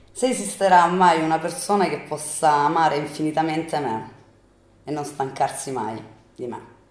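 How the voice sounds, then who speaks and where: A woman with a very deep, low voice speaks at a moderate pace with lively intonation, over noticeable background noise and audible room echo. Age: 30s. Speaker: bartender and fashion student. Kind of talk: interview answers.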